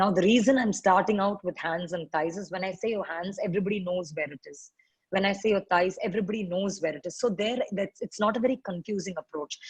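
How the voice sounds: Talking at a fast pace, a woman uses a medium pitch with ordinary pitch variation and a slightly husky edge, in a dry, close sound with no echo.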